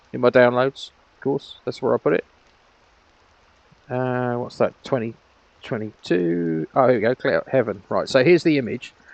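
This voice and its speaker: Pausing long and often, a man speaks at a medium pitch with ordinary pitch variation. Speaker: virtual world grid owner and tutorial maker. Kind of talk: screen-recorded tutorial. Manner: fast; casual, hesitant with fillers.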